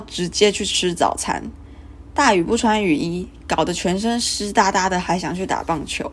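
A woman at a medium pitch, moderate pace and ordinary pitch variation. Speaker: student podcaster. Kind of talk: casual monologue.

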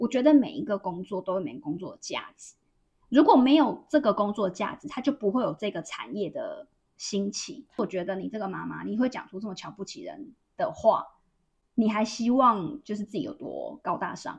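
Somewhat breathy and in a Taiwanese accent, the voice moves at a moderate pace with very wide pitch swings and big swings in loudness. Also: woman, fairly high pitch for a woman. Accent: Taiwanese Mandarin. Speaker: podcast co-host, former telecom store worker. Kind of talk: casual chat.

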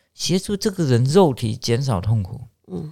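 Captured in a very clean recording with a silent background, a man's voice rises and falls in very wide pitch swings. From Taiwan, Chiayi. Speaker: palliative care physician and medical professor. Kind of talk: interview. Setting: studio. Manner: hesitant, many fillers.

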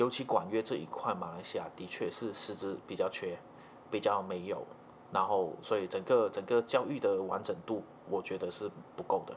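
A man's normal speaking voice, fairly low in pitch, at a moderate pace with ordinary pitch variation. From Malaysia. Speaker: trumpet player and music teacher. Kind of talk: casual interview chat.

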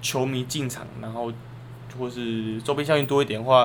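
A man speaks with monotone, flat intonation amid audible room echo and noticeable background noise. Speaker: sports podcast co-host. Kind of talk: casual chat.

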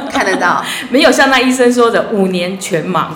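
Very wide pitch swings with audible room echo and noticeable background noise. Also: woman. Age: 50s. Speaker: visually impaired homemaker. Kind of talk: casual chat.

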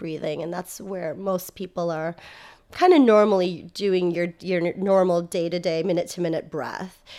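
With an American accent, a woman speaks in a normal speaking voice at medium pitch and moderate pace. The recording is very clean, with a silent background. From United States. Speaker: social worker and university lecturer. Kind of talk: interview.

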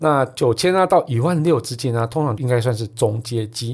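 A somewhat breathy voice speaks at a moderate pace in a very clean recording with a silent background. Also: man. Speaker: tech podcast host. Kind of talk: casual chat; sponsored product review. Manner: animated.

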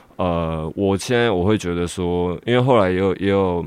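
A man with a very deep, low pitch. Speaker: rapper. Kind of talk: interview. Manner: halting.

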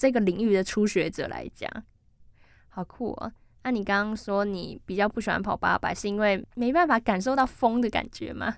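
A woman with an unremarkable speaking voice and fairly high pitch talks at a moderate pace. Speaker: campus radio sports show host. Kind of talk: casual interview chat.

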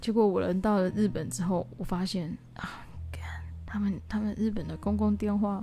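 Her voice is somewhat breathy, with a dark, mellow tone, medium pitch and a fairly slow pace. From southern Taiwan. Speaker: podcaster. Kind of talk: personal diary monologue. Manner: hesitant, many fillers.

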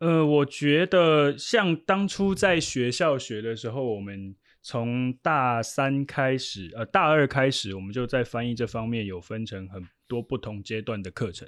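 A man with a plain, everyday voice speaks at a medium pitch and a fairly slow pace, with lively intonation, big swings in loudness, hardly any pauses and a quiet background. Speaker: sports team interpreter. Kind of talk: casual interview.

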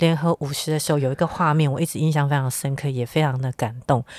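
A woman speaks with ordinary pitch variation in a dry, close sound with no echo. The recording is very clean, with a silent background. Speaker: podcast host. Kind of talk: interview.

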